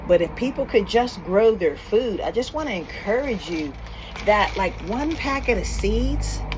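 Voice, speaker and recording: A woman talks fairly slowly. Noticeable noise sits in the background. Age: 50s. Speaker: homesteader and church co-founder. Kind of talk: casual vlog talk to camera. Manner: hesitant, many fillers.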